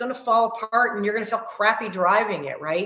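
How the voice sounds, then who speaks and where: A woman's fairly high, animated voice with ordinary pitch variation. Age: 50s. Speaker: fitness coach. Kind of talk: online workshop talk. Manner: fast.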